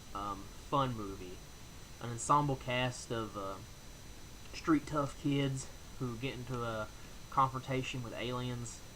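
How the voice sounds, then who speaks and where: There is audible room echo as a man speaks at a medium pitch. He leaves long, frequent pauses. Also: fairly slow pace. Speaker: movie reviewer YouTuber. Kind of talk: casual video review countdown. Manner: animated.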